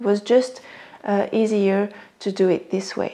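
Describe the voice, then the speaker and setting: Speaking in a French accent, a woman uses a fairly high pitch and a dark, mellow tone with monotone, flat intonation. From France. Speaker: sewing pattern designer. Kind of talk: casual talk to camera.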